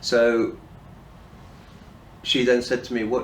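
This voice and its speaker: A man's medium-pitched voice in audible room echo. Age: 60s. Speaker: person in addiction recovery. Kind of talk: personal testimony. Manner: halting, with fillers and restarts.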